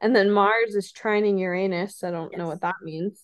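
With an unremarkable speaking voice, a woman keeps a moderate pace, her medium-pitched delivery showing fairly even intonation. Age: 30s. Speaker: podcast co-host. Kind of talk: casual chat.

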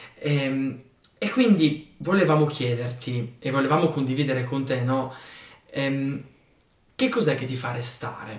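A man speaks at a fairly slow pace with ordinary pitch variation, leaving long, frequent pauses, and audible room echo surrounds his voice. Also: medium pitch for a man. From northeastern Italy, outside Val Resia. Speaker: podcast host. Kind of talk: podcast interview.

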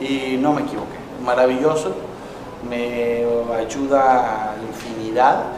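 A man speaks very slowly at medium pitch, in a monotone, flat intonation with long, frequent pauses. Audible room echo and noticeable background noise fill the recording. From Mexico, raised across the country and Tijuana. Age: 40s. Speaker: football coach. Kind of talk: interview.

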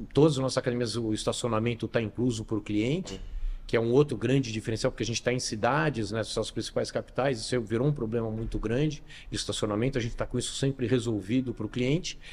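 Very fast speech from a man, his intonation fairly even. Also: medium pitch for a man. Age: 50s. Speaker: gym chain founder and CEO. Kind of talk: interview. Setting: gym.

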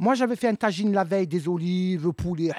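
A woman's a normal speaking voice, fairly quick and lively in intonation, with a dry, close sound, no echo, in a very clean recording with a silent background. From Marseille, southern France. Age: 50s. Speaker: comedian. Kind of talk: casual chat. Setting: stage with audience.

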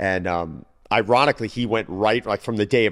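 A man with an American accent and an unremarkable speaking voice talks at a fairly quick pace with ordinary pitch variation in a very clean recording with a silent background. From US Northeast, Long Island. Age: 40s. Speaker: fitness trainer. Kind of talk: casual podcast interview.

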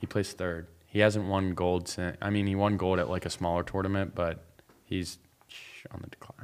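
Speaking in an American accent, a man with a very deep, low pitch talks at a moderate pace with monotone, flat intonation. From Pittsburgh, Pennsylvania. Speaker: college student and salesman. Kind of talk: casual chat.

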